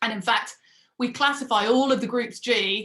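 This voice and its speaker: Here a woman talks at a moderate pace. Her tone is bright and sharp. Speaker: mathematics professor. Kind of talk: lecture.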